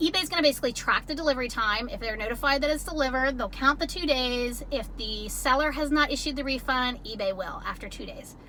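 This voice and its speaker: Speaking at a very fast pace with hardly any pauses, a woman uses a raised, projected voice at a high pitch with ordinary pitch variation. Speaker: ebay reseller youtuber. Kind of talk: tutorial.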